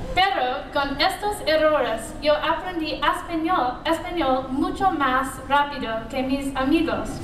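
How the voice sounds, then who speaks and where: A high-pitched woman's voice with a strong American accent, very slow yet with hardly any pauses, ordinary pitch variation, audible room echo and noticeable background noise. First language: English (speaking Spanish). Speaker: entrepreneur. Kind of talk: conference talk. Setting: stage with audience. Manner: halting, non-native Spanish.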